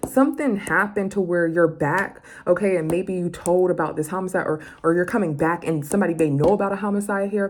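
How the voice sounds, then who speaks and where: Over noticeable background noise, a woman talks at a fairly quick pace and medium pitch. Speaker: tarot reader. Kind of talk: tarot reading for viewers. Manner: fast; casual, conversational.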